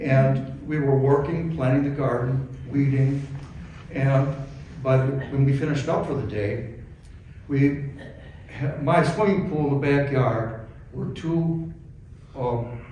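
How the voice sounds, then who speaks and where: The speech moves at a fairly slow pace with long, frequent pauses. Audible room echo and noticeable background noise surround it. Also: man. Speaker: eulogist, brother of the deceased. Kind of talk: eulogy read aloud. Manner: halting.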